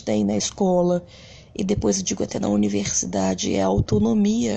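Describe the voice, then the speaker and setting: A woman's voice with very wide pitch swings. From Brazil, Rio de Janeiro (Bangu). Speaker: education supervisor. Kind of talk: reflective monologue.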